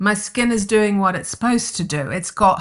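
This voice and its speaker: Against a quiet background, a bright, sharp voice with lively intonation speaks in a New Zealand accent. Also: woman. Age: 60s. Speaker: herbalist and skincare founder. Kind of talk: interview conversation.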